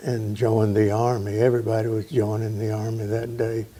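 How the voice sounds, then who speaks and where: Over noticeable background noise, a man with a Southern US accent talks at a fairly slow pace. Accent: Southern US (Georgia). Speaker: interviewee recalling family history. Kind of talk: oral history interview. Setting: at home.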